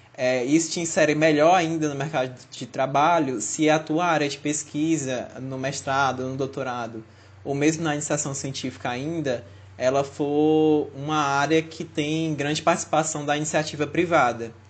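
A man speaks in an ordinary speaking voice at a moderate pace, his pitch fairly high. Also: fairly even intonation. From Fortaleza, Brazil. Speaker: podcast co-host, biomedical student. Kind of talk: casual chat.

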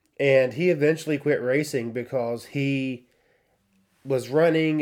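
This man speaks at a medium pitch. His intonation stays fairly even. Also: very clean recording, silent background. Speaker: podcast co-host. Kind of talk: casual chat.

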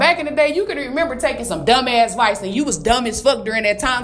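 Very fast and animated, a woman talks with lively intonation at a fairly high pitch. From Detroit, US Midwest. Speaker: motivational podcaster. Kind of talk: motivational monologue.

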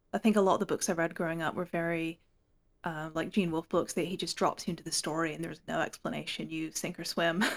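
Speaking at a very fast pace, this woman has a fairly low pitch, vocal fry and fairly even intonation, captured in a very clean recording with a silent background. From Hong Kong. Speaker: fantasy author. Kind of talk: casual chat.

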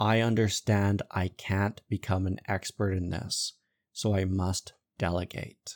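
A man at a fairly low pitch with monotone, flat intonation and a fairly slow pace, in a very clean recording with a silent background. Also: dry, close sound with no echo. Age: 30s. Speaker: executive coach and podcast host. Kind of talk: solo podcast monologue on leadership.

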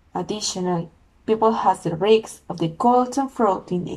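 The speaker is a woman with a Spanish accent. She talks fairly slowly. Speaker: podcast host. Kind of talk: solo podcast monologue. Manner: halting.

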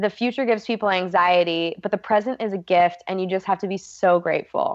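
A woman in a plain, everyday voice speaks at medium pitch for a woman, the sound dry and close with no echo and the background quiet. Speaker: nutritionist. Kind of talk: interview.

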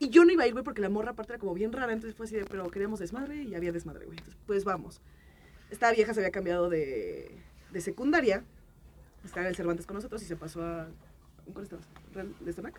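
Very fast delivery with lively intonation, long, frequent pauses and big swings in loudness. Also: woman, medium pitch for a woman. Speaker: podcast panelist. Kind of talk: casual chat.

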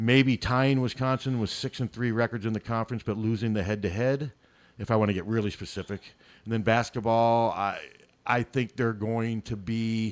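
An ordinary speaking voice, a man's, medium in pitch, with an American accent, fairly even intonation and a moderate pace, in a dry, close sound with no echo and a very clean recording with a silent background. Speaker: local sports radio guest. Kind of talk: casual chat. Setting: studio.

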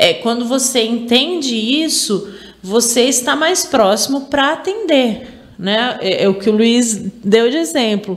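A woman with a high pitch speaks at a very slow pace with lively intonation over noticeable background noise. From Araraquara, São Paulo state, Brazil. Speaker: university department head and professor. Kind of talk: interview.

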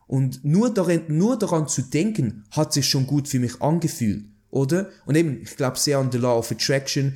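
At a moderate pace, a man with a Swiss German accent talks in a somewhat breathy, dark, mellow voice of fairly high pitch and ordinary pitch variation. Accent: Swiss German, noticeable. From Switzerland. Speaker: artist. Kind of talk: interview conversation.

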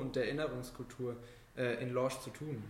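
With audible room echo, a man speaks at a moderate pace with fairly even intonation. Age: young. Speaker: podcast host, volunteer at a town culture office. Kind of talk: interview.

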